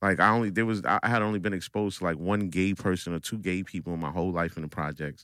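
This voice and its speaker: On a very clean recording with a silent background, a man with a New York accent and a very deep, low, bright, sharp voice talks at a very fast pace with hardly any pauses and fairly even intonation. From Brooklyn, New York (Coney Island). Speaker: barber. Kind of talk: casual chat. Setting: studio.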